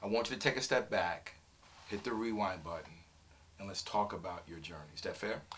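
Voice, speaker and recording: A man's fairly low-pitched voice at a fairly quick pace, with ordinary pitch variation, big swings in loudness and long, frequent pauses, over noticeable background noise. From New York, Brooklyn. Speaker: business talk show host. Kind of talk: interview.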